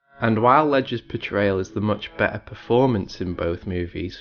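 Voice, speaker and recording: At a moderate pace, a man with a fairly low pitch speaks in a normal speaking voice. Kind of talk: video essay narration.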